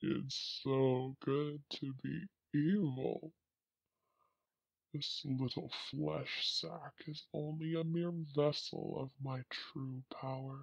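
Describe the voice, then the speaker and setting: A put-on character voice sits at a low-to-middle pitch. It moves at a very slow pace with long, frequent pauses. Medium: audio drama. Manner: sinister, gloating.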